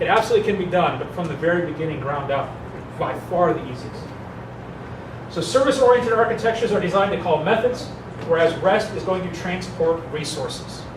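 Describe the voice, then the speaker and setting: With noticeable background noise and audible room echo, a man talks very fast in a high voice with lively intonation. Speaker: software developer presenting at a meetup. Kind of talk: technical presentation.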